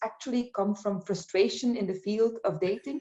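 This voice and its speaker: Delivered at a moderate pace, a plain, everyday voice carries ordinary pitch variation. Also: woman. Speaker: interviewer.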